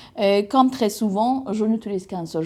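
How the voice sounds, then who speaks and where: Over a very clean recording with a silent background, a woman speaks at a medium pitch in a dark, mellow tone. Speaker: tarot reader. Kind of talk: tarot reading to camera. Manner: hesitant, many fillers.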